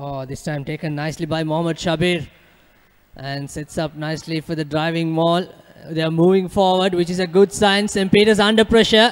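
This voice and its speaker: This man talks fairly quickly in a high voice whose pitch varies in an ordinary way. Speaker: rugby commentator. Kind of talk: live sports commentary.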